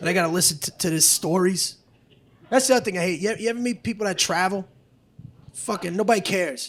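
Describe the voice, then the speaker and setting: A man's high-pitched, very fast speech with ordinary pitch variation and long, frequent pauses. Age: 50s. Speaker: comedian. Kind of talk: stand-up. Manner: aggressive-sounding, forceful; halting, self-correcting.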